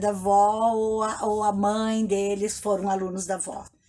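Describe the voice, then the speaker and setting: The woman's tone is dark and mellow. She speaks at a fairly slow pace with monotone, flat intonation. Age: 60s. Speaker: retired teacher. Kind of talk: interview. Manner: halting.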